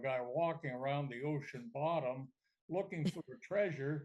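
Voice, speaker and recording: Somewhat breathy, a man with a fairly high pitch and ordinary pitch variation talks at a moderate pace. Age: 80s+. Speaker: retired hockey commentator. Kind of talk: podcast interview answer. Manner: hesitant, anecdotal.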